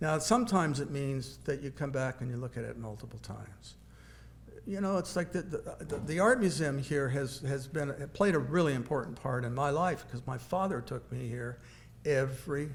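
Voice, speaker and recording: A man speaks at a moderate pace with a Midwestern US accent, his pitch in the middle range and its variation ordinary. Vocal fry comes through, and the room echo is audible. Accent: US Midwest. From Kansas (Wichita). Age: 70s. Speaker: painter. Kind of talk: lecture. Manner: halting.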